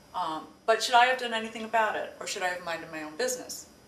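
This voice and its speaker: Speech comes at a very fast pace with lively intonation, over noticeable background noise and audible room echo. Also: woman. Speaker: co-host of a discussion show. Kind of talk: casual chat.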